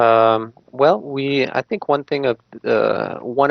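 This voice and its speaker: A man speaks with a French Canadian accent. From Quebec, Canada (Montreal). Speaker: real estate agent. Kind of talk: interview. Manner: halting, many fillers.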